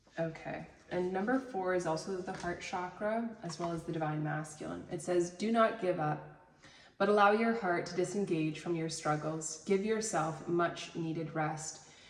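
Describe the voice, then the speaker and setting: A woman with a fairly low pitch is heard amid noticeable background noise and audible room echo. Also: ordinary pitch variation, moderate pace. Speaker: tarot reader and reiki healer. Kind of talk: tarot reading, reading card texts aloud.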